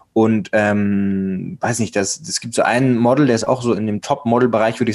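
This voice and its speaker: A man with an unremarkable speaking voice and a medium pitch talks at a fairly quick pace with fairly even intonation. The recording is very clean, with a silent background. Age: 20s. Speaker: male model and podcaster. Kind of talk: interview conversation. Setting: recorded guest appearance on another podcast.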